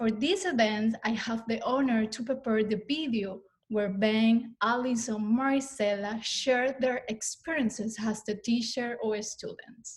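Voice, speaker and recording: Speaking at a fairly slow pace with hardly any pauses, a woman with a Spanish accent uses a fairly high pitch and fairly even intonation. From Venezuela. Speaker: student services staff, former student. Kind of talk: prepared testimony.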